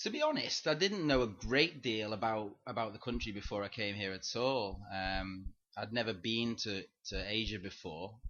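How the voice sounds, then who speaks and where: At a moderate pace, a man with a medium pitch and ordinary pitch variation talks with a northern English accent. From northern England, Chester/Manchester area. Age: 20s. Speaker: English teacher. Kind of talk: interview. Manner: halting, many fillers and repetitions.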